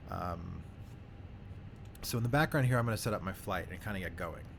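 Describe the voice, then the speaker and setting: A somewhat breathy, fairly low male voice, fairly quick and with lively intonation. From New York City (Staten Island). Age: 30s. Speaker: flight sim YouTuber. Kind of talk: casual chat. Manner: casual, hesitant with fillers.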